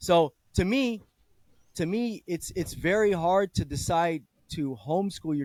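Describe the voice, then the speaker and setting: Speaking with an American accent and lively intonation, a man with a high pitch is heard in dry, close sound with no echo. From California, Bay Area. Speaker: discussion host, father. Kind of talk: casual chat.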